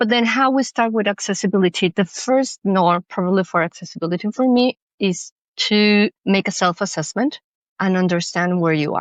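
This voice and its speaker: A woman with a Spanish accent speaks at medium pitch and a moderate pace, with ordinary pitch variation and very even loudness, in a dry, close sound with no echo and a quiet background. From Mexico. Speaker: cultural manager and accessibility consultant. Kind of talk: podcast interview.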